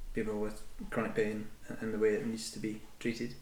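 In a Scottish accent, a man talks at medium pitch with fairly even intonation, over noticeable background noise and audible room echo. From Scotland. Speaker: adventurer with chronic back pain. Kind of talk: interview, personal story.

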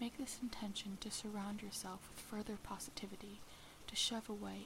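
At a moderate pace, a woman speaks at medium pitch against noticeable background noise. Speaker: meditation guide. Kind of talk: guided meditation, calm soothing instructions to relax.

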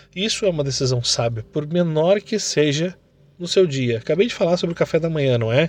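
This man has an ordinary speaking voice, fairly high in pitch, with lively intonation. He talks at a fairly quick pace against a quiet background. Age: 30s. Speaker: entrepreneur and motivational podcaster. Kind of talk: motivational monologue.

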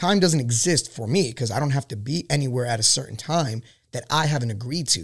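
A man's medium-pitched, somewhat breathy voice with an American accent, fairly quick and lively in intonation, on a very clean recording with a silent background. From Queens, New York. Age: 30s. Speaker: Marine veteran and small business owner. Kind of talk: casual chat.

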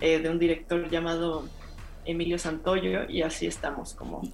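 Here a woman speaks fairly slowly. Her pitch is fairly low. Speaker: former radio co-host, film festival programmer. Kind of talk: casual chat.

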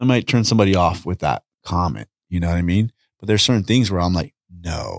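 With an American accent and a very deep, low pitch, a man talks at a fairly quick pace on a very clean recording with a silent background, the sound dry and close with no echo. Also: ordinary pitch variation. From Southeast Los Angeles, California. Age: 40s. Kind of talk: casual chat.

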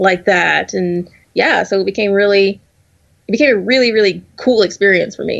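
Using an American accent, a woman talks at a moderate pace with medium pitch and ordinary pitch variation. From US South. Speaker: graduate student in food science. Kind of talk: casual chat. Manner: halting, many fillers.

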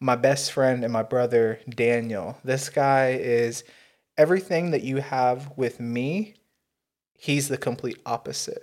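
A man with an unremarkable speaking voice talks at a fairly slow pace, his medium pitch rising and falling in an ordinary way over a very clean recording with a silent background. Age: 20s. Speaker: podcast host. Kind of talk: casual chat.

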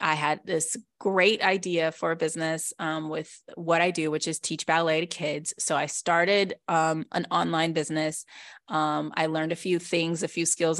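A woman with a normal speaking voice at a fairly low pitch, a moderate pace, and a quiet background. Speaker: podcast co-host and ballet teacher. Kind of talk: casual chat.

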